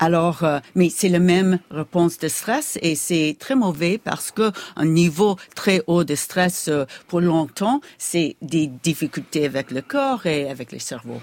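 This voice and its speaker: A woman's fairly low voice, very slow in pace, with lively intonation. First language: English (speaking French). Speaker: neuroscientist. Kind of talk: interview. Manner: halting.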